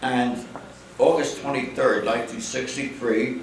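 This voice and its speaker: At a moderate pace and a medium pitch, a man speaks over noticeable background noise. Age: 80s+. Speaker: retired real estate executive. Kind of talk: keynote speech.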